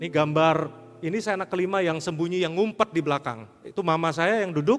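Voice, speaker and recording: A man speaks in a plain, everyday voice at a fairly quick pace. His pitch sits fairly high, with ordinary pitch variation. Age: 50s. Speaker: pastor. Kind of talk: sermon.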